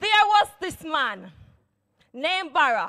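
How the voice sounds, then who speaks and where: A woman speaks very slowly in a raised, projected voice. The background is quiet. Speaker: church elder preaching. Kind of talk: sermon. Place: church. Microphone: handheld.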